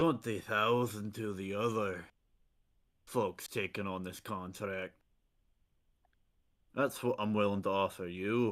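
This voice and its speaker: Using a put-on character voice, a man speaks in a raspy, fairly low pitch at a fairly slow pace, leaving long, frequent pauses. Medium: actual play. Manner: hearty, blunt.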